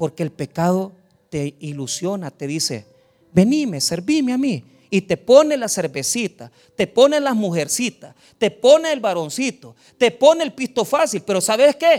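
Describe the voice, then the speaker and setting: A man's high-pitched voice at a moderate pace, very wide pitch swings, dry, close sound with no echo. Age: 40s. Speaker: pastor. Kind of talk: sermon.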